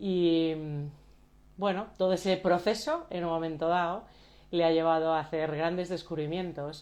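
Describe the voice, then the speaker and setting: Fairly low in pitch, a woman talks at a fairly slow pace with long, frequent pauses. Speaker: coach and live stream host. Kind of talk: live stream introduction. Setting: Instagram live video. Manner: soft-spoken; halting.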